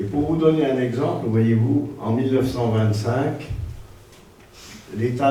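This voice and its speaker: A medium-pitched man is heard with audible room echo and noticeable background noise. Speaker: lecturer. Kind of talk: lecture.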